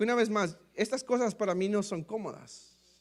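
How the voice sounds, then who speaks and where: Fairly slowly and in an animated tone, a man speaks at a high pitch with lively intonation on a very clean recording over a silent background. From Mexico. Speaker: pastor. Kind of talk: testimony.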